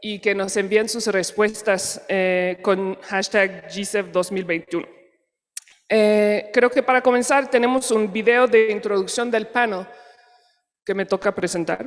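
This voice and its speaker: Speaking at a very slow pace with a French accent, a woman uses a medium pitch and fairly even intonation. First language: French (speaking Spanish). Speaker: panel moderator. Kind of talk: conference moderation. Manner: halting.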